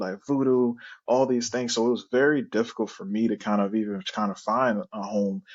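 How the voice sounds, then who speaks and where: A man with a Haitian accent speaks at medium pitch and a moderate pace. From Haiti, raised in Florida. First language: Haitian Creole. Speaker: product manager. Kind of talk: interview.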